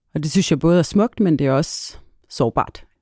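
A woman's very deep, low, dark and mellow voice, fairly slow, on a very clean recording with a silent background. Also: dry, close sound with no echo. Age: 30s. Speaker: lawyer and refugee advocate. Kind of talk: interview. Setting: studio.

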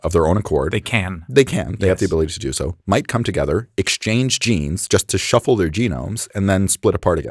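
A man's very deep, low voice with lively intonation, in a dry, close sound with no echo. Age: 30s. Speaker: chef and food scientist. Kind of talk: casual chat.

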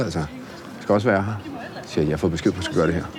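A very fast man's voice, very deep and low, with ordinary pitch variation and noticeable background noise. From Italy-born, Norwegian mother, raised in Denmark. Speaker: chef and restaurateur. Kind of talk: interview conversation. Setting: on location at his restaurant. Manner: hesitant, many fillers and repeats.

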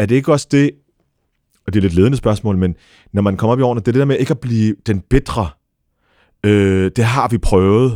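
Recorded very cleanly against a silent background, a man with a dark, mellow tone talks at a fairly quick pace, keeping his loudness very even and taking long, frequent pauses. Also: medium pitch for a man, ordinary pitch variation, dry, close sound with no echo. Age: 40s. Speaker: podcast host. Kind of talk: interview.

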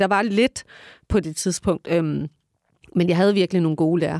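A woman speaks in a dry, close sound with no echo. The recording is very clean, with a silent background. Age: 40s. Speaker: journalist and radio host. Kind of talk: casual chat. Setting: studio. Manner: halting.

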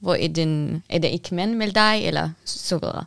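In a dry, close sound with no echo, a woman speaks fairly slowly at a fairly low pitch with ordinary pitch variation. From Syria. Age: young. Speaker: activist and building designer. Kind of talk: interview. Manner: halting.

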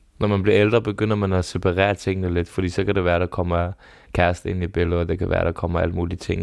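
Talking at a very fast pace, a man uses a very deep, low pitch and a flat, monotone delivery. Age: 30s. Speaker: podcast host. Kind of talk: casual chat. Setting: studio.

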